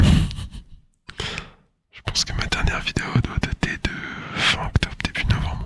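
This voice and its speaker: A man whispers at a very slow pace. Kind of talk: casual talk to camera. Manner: whispered, soft.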